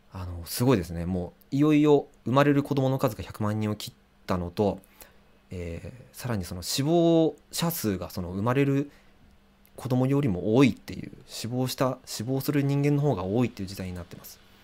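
Loudness swings widely as a man speaks at a fairly quick pace in a dark, mellow voice. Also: lively intonation. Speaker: musician and livestreamer; livestreamer. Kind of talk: casual livestream talk. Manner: many filler hesitations. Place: home room.

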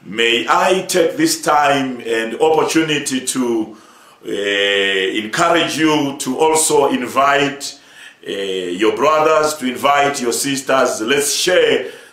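A man at a very slow pace, with audible room echo. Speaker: church overseer preaching. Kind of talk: sermon.

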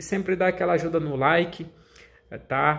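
Fairly even intonation in a somewhat breathy male voice. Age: 30s. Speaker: gaming YouTuber. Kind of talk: casual vlog talk to viewers. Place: home room. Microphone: phone near.

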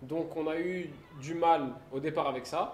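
A man's voice comes through with audible room echo. Light background noise is present. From Belgium, Brussels. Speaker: exchange student. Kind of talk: casual chat.

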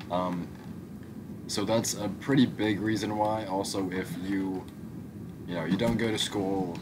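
A man talks in a very deep, low pitch over noticeable background noise. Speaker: gaming YouTuber. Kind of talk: casual gameplay commentary. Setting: home recording. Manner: casual, rambling with fillers.

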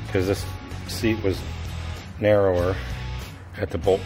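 Clear music plays in the background while a man speaks at a fairly slow pace, his fairly low pitch showing ordinary variation. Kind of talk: tutorial. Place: garage. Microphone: phone near.

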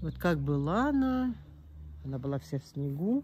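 A woman with very deep, low pitch, a dark, mellow tone and a somewhat breathy voice speaks at a very slow pace with very wide pitch swings, in a dry sound with no echo and light background noise. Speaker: gardening video blogger. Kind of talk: casual garden tour vlog. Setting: outdoors in her garden. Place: garden. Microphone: phone near.

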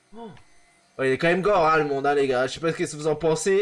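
A man's fairly high voice moves at a fairly quick pace, its pitch varying in an ordinary way. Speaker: gaming youtuber. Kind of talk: let's play commentary. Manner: animated.

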